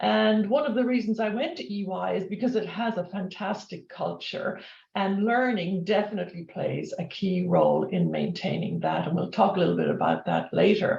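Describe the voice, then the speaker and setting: A woman with an Irish accent at a moderate pace, with hardly any pauses. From Ireland. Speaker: corporate learning executive, former professor. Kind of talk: webinar interview. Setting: video webinar.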